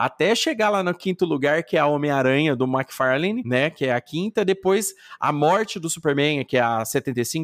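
With an ordinary speaking voice, a man talks at a moderate pace and fairly high pitch, using lively intonation and hardly any pauses, in a very clean recording with a silent background and a dry, close sound with no echo. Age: 40s. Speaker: podcaster. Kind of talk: casual chat.

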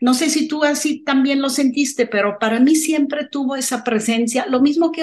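A woman speaks at a fairly slow pace with lively intonation. Her pitch is high. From abroad, not Mexico. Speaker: film podcast co-host. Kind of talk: casual film discussion.

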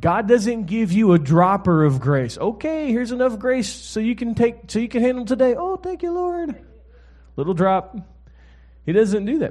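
Here a man talks at a moderate pace, his pitch high for a man with very wide swings. His tone is warm and animated. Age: 40s. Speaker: guest preacher, pastor and author. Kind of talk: sermon to a live congregation, preacher with call-and-response. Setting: church stage with audience. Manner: animated, conversational, relaxed, exhorting, with frequent 'amen?' prompts; warm, humorous, fluent but with repeated restarts.

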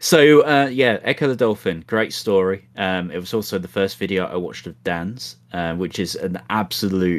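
A man's low-pitched voice at a moderate pace, with ordinary pitch variation and few pauses

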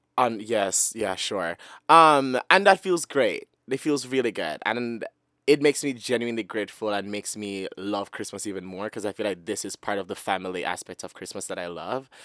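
In a Jamaican accent, a man with a fairly low pitch and a bright, sharp tone talks animatedly at a moderate pace with ordinary pitch variation, captured in a very clean, dry, close recording with no echo and a silent background. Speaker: podcast co-host. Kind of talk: casual chat, comedic banter. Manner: animated, joking, laughs often.

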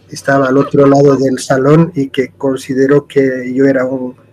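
The pace of this man's speech is very slow. His pitch is fairly high. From Cochabamba, Bolivia. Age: 70s. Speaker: guest, architect and music fan. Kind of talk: casual chat.

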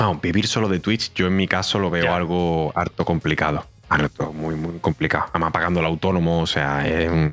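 Over music in the background, a man speaks with a very deep, low pitch in a monotone, flat intonation. His pace is fairly quick with hardly any pauses, and his loudness is very even. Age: 30s. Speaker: streamer. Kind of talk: casual chat.

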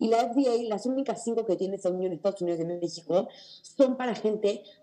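Her voice has a dark, mellow tone, and this woman's pitch varies in an ordinary way. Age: 20s. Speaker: mental health advocate. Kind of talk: testimony.

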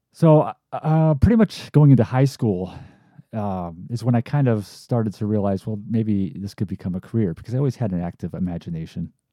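In an upstate New York accent, a man speaks at a fairly quick pace with a fairly low pitch and a dark, mellow tone, sounding dry and close with no echo on a very clean recording with a silent background. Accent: upstate New York American. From upstate New York (Amsterdam, near Albany). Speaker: filmmaker and podcast host. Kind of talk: solo podcast monologue. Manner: casual with frequent fillers (uh, um).

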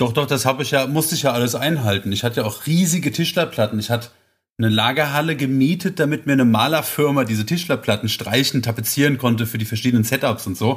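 Speaking very fast in a somewhat breathy, medium-pitched voice with ordinary pitch variation, a man comes through on a very clean recording with a silent background. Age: 30s. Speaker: carpentry apprentice and guest co-host. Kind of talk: casual chat.

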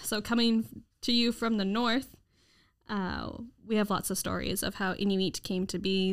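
On a very clean recording with a silent background, a woman talks in a normal speaking voice at medium pitch with ordinary pitch variation. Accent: Canadian. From Victoria, British Columbia, Canada. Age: 20s. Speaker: podcast co-host. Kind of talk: storytelling; casual chat.

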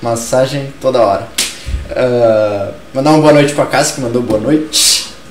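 Amid audible room echo and noticeable background noise, a man speaks fairly slowly at a medium pitch with fairly even intonation. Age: 20s. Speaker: culture talk show host, cultural activist. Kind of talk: casual discussion show. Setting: live-streamed studio show.

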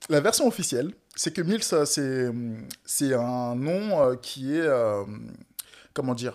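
The recording is very clean and the background silent. Intonation moves in a lively way. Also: man. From West Africa (Togo/Benin). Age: 20s. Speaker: painter. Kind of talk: casual chat.

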